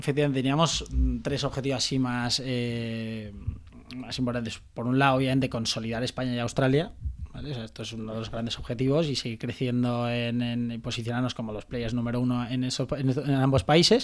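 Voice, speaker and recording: Speaking at a fairly quick pace, a man with a medium pitch keeps a monotone, flat intonation. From Valencia, Spain. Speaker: startup founder and CEO. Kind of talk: interview. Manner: halting, many fillers.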